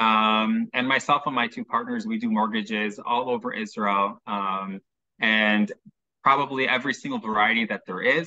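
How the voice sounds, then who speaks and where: A man with a Chicago accent at a moderate pace. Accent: American, Chicago. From US Midwest, Chicago. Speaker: mortgage specialist. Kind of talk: interview, explaining.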